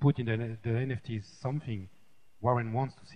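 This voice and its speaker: Speaking with a French accent at a moderate pace, a man has a dark, mellow tone that is somewhat breathy. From France. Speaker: tech developer. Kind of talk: panel discussion. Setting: stage with audience. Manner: halting.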